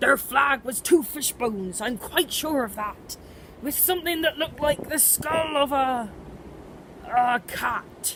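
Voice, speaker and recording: A woman's put-on character voice, high in pitch with lively intonation and a fairly slow pace, over clear background noise. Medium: read story.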